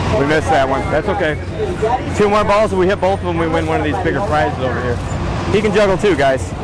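Crowd noise fills the background as a man talks at a very fast pace. The sound is dry, with no echo. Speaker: vlogger. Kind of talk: casual vlog chat. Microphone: lapel.

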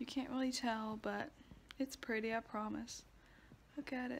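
At a moderate pace, a woman with a fairly high pitch and an American accent speaks over light background noise. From US South. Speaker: vlogger. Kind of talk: casual vlog monologue. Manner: animated. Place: home room. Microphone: phone near.

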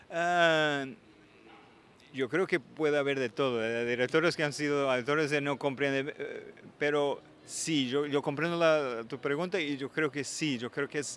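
Over light background noise, a man with a Portuguese accent speaks at a fairly slow pace and fairly high pitch, with fairly even intonation and a dry sound with no echo. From Portugal. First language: Portuguese (speaking Spanish). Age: 40s. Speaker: film director and actor; actor. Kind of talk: interview. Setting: film festival. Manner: halting. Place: street. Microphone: handheld.

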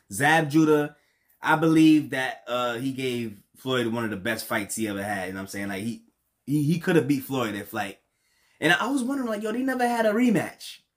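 Against a quiet background, a man with a New York accent talks at a fairly quick pace with very wide pitch swings. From New York, Brooklyn. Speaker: reaction youtuber. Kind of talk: casual reaction commentary. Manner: halting, repeats words.

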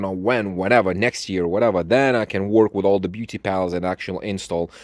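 The voice has a slightly mellow tone and ordinary pitch variation at a moderate pace. The recording is very clean, with a silent background. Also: man.

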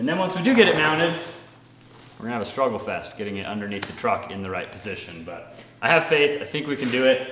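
Very fast and swinging widely in loudness, a man's voice rings with audible room echo over light background noise. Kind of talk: tutorial. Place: garage. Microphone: camera far.

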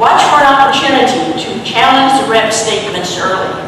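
Noticeable background noise and strong room echo fill the recording. The speech moves at a moderate pace. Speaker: town hall moderator. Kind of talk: public address to audience. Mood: firm, scolding. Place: church.

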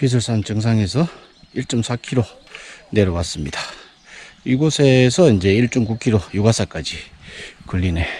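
A man at a medium pitch with lively intonation, a very slow pace, long, frequent pauses and a dry sound with no echo. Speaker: real estate YouTuber. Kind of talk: hiking vlog narration. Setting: outdoors. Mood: pleased, admiring. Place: open country. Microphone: phone near.

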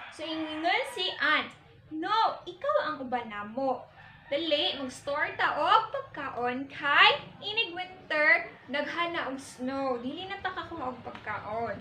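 Speaking at a very slow pace, a woman with a Philippine accent uses a raised, projected voice, high in pitch with lively intonation, amid light background noise and audible room echo. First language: Cebuano (speaking Tagalog). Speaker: teacher. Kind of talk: classroom storytelling, reading aloud and translating. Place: classroom. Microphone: camera far.

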